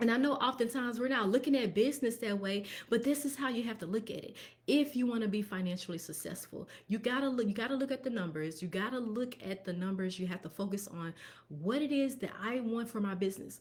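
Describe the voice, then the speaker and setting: A woman with a fairly high pitch, a very fast pace and ordinary pitch variation. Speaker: tax professional and bookkeeper. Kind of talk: live stream business talk. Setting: live stream.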